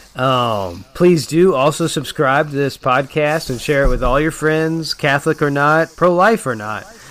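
A plain, everyday voice, a man's fairly high one with ordinary pitch variation, moves at a fairly slow pace with hardly any pauses. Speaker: podcast host. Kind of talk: casual chat.

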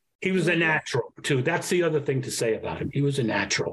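A man with an American accent speaks somewhat breathy, with ordinary pitch variation. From New York. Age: 70s. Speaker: actor. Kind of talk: casual interview.

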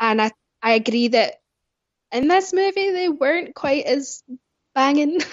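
A woman with a high pitch talks at a fairly slow pace, leaving long, frequent pauses. Her intonation is lively and her loudness very even. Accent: Scottish. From Scotland, Glasgow. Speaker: podcast guest, movie fan. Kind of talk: casual chat.

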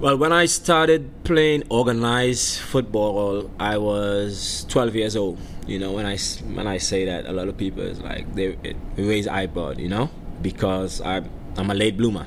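Noticeable background noise and audible room echo accompany a man with a fairly low pitch. He speaks at a fairly slow pace with lively intonation. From Trinidad, countryside (Mayaro). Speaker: professional soccer player. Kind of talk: interview. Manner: halting, repeats words.

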